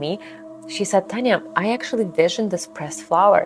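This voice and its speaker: With music in the background, a woman speaks very fast in a Ukrainian accent, her intonation lively. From Ukraine, Ivano-Frankivsk. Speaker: tarot deck creator. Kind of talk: personal storytelling. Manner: animated.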